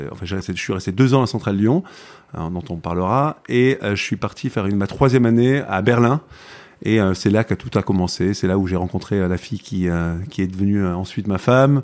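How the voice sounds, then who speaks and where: Here a man speaks fairly quickly at a fairly low pitch, with ordinary pitch variation. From southern France, Provence. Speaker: tech entrepreneur. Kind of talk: interview conversation. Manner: halting, many repetitions.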